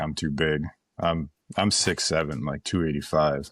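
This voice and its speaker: The recording is very clean, with a silent background. A man with an American accent speaks at a moderate pace, his pitch very deep and low and his intonation fairly even. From western Wisconsin. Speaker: ammunition company founder. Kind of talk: casual podcast interview. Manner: halting, repetitive.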